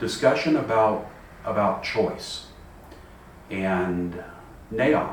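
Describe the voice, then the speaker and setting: A man's fairly low voice at a very slow pace, with long, frequent pauses, ordinary pitch variation and audible room echo. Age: 60s. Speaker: person with vision loss sharing experience. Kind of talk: personal reflection monologue. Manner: halting, many repetitions.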